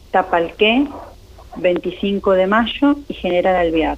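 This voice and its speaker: Noticeable background noise sits behind this woman's medium-pitched voice. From Argentina, Greater Buenos Aires (Berazategui). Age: 40s. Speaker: tourism and gastronomy researcher and lecturer. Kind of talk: interview.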